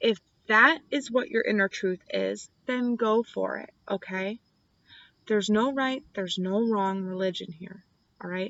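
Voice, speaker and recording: A woman with a slight country accent, ordinary pitch variation, and a fairly slow pace. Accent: slight country twang. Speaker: tarot reader. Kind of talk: tarot reading. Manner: casual and chatty.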